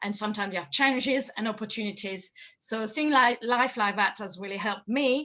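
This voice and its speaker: With a French accent, a woman talks at a very fast pace in a fairly high pitch, with ordinary pitch variation. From France. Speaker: confidence coach. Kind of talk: interview. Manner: repeats words, hesitant starts.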